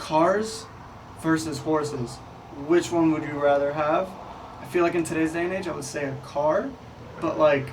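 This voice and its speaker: With an American accent and a fairly high pitch, a man speaks with long, frequent pauses, amid audible room echo and noticeable background noise. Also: moderate pace. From Texas small town. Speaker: podcast co-host. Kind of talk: casual chat. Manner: animated.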